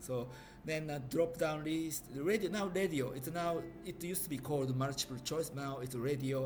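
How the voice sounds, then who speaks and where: Music plays in the background as a man with a fairly high pitch speaks at a moderate pace amid audible room echo. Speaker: IT trainer. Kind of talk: tutorial. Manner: halting.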